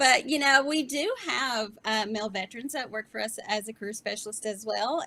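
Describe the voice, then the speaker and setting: Her pitch is fairly high, and her intonation is lively. The woman speaks with a Southern US accent. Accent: sweet Southern. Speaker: veteran employment team leader. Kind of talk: panel interview.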